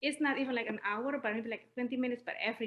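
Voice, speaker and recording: A woman with an Indonesian accent speaks at a fairly high pitch with ordinary pitch variation. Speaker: newly certified personal trainer. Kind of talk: interview.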